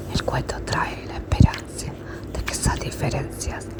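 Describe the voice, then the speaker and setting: Whispering at a fairly slow pace, the speaker keeps a calm tone over noticeable background noise. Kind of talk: whispered bedtime fairy tale reading. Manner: whispered; soft, calm.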